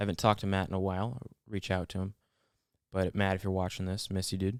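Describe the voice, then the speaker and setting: Very deep and low in pitch, a man speaks at a very fast pace with monotone, flat intonation, in a dry, close sound with no echo on a very clean recording with a silent background. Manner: fast, slurred words.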